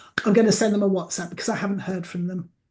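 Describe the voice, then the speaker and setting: Intonation stays fairly even in this somewhat breathy voice. The tone is dark and mellow. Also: woman. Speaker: celebrant and business trainer. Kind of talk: tutorial.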